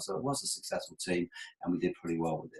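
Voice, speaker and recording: Speaking at a very fast pace, a man talks with an English accent. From England. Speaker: sports sponsorship consultant. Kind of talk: webinar presentation. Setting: online webinar with screen share. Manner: conversational, humorous.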